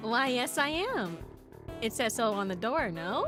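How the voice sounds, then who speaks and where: A female-sounding, fairly high-pitched put-on character voice speaks softly. Clear music plays in the background. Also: moderate pace. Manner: soft, slightly creepy.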